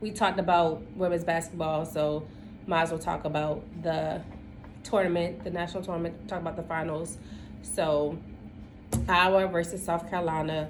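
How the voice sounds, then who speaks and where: Speaking in a monotone with an American accent, a woman with a fairly low voice keeps a moderate pace, pausing often and at length, with audible room echo around her. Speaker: podcast co-host. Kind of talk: casual chat.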